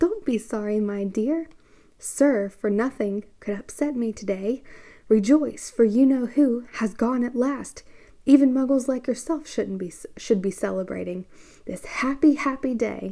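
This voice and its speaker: Someone performs a squeaky, put-on character voice at a moderate pace. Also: female-sounding voice, high pitch for a woman. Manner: delighted, joyful.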